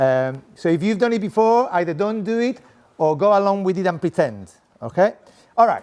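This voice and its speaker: Using a Spanish accent, a man talks at a moderate pace in a high voice, animated in tone with lively intonation. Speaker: sport coaching professor. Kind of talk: conference presentation.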